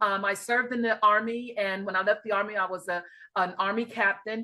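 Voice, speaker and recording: A woman with a slight New York accent speaks at a fairly quick pace. Her tone is bright and sharp, her pitch fairly high. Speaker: life and grief coach. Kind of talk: interview.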